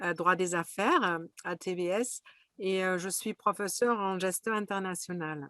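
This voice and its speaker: Bright and sharp in tone, a woman's medium-pitched voice moves at a fairly slow pace with fairly even intonation. The sound is dry and close, with no echo. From Germany, Berlin. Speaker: business school professor. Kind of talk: webinar panel introduction. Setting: video webinar.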